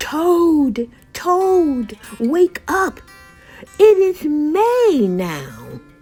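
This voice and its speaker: Faint music plays in the background as a woman delivers a put-on character voice at a very slow pace. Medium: read story.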